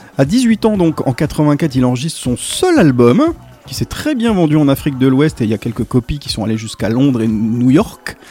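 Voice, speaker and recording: With noticeable background noise behind him, a man at a fairly high pitch talks at a moderate pace with lively intonation. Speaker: radio co-host. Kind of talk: casual radio chat.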